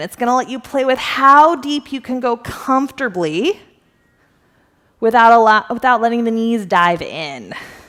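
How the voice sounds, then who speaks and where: Speaking at a moderate pace, a woman has a bright, sharp tone and a fairly high pitch. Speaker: fitness instructor. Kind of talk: workout instruction. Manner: casual, encouraging.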